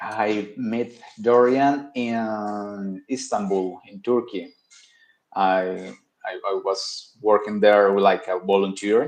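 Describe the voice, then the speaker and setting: Spoken very slowly, the words carry fairly even intonation. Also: man, fairly low pitch for a man. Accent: Colombian. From Colombia. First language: Spanish. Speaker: podcast guest. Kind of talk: casual chat. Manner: halting, frequent repetitions.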